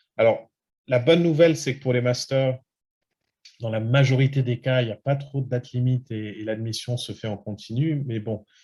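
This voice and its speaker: A man speaks at a moderate pace with fairly even intonation. His medium-pitched voice is somewhat breathy, with a dark, mellow tone. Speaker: study abroad consultant. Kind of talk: webinar presentation. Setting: online webinar. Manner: many hesitations.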